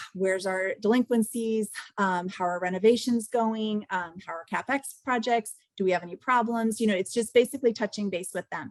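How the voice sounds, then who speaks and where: In a dry, close sound with no echo and a quiet background, a woman with a fairly high pitch talks at a fairly quick pace with ordinary pitch variation. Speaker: real estate investor. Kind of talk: mentoring call presentation. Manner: fast.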